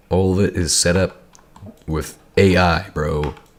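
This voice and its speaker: A man speaks in a very deep, low voice with fairly even intonation over noticeable background noise. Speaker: gaming streamer. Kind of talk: casual live gameplay commentary. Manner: casual, slangy.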